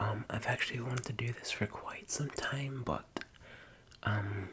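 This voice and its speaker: A man whispers fairly slowly, with noticeable background noise behind him. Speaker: ASMR creator. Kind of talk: soft-spoken whisper ramble. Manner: whispering; halting, loses train of thought.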